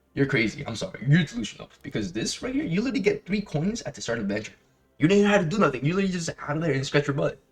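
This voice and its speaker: Very fast pace from a man with fairly high pitch, vocal fry and very wide pitch swings. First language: not English. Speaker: gaming youtuber. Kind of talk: gameplay guide commentary. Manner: casual, halting with many fillers.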